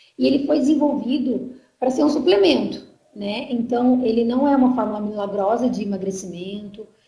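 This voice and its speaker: A woman with a dark, mellow tone and a fairly high pitch speaks at a moderate pace with ordinary pitch variation, with audible room echo around her. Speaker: marketing staff presenter. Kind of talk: online sales presentation. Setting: online conference.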